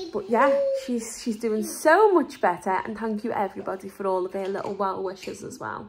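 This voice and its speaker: A woman talks at a moderate pace with ordinary pitch variation. Light background noise can be heard. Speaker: family vlogger. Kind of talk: casual vlog chat. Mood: gentle, relieved. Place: home room. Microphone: phone near.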